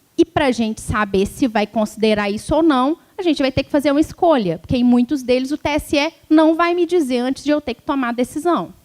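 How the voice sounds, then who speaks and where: A woman speaks with a rural Minas Gerais accent at a moderate pace. Her high voice has lively intonation, and the sound is dry and close with no echo. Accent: mineiro, rural interior Minas. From Brazil, interior of Minas Gerais. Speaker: law professor, electoral law speaker. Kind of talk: lecture. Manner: conversational, informal.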